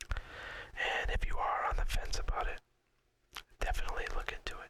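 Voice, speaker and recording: Whispering in a relaxed tone at a moderate pace. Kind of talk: whispered ASMR talk to camera about personal story. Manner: whispered, relaxed.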